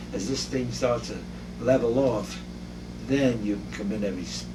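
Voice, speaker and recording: Amid audible room echo and noticeable background noise, a man speaks at a moderate pace in a fairly low voice with very wide pitch swings. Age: 80s+. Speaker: dermatologist. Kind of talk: interview. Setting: doctor's office.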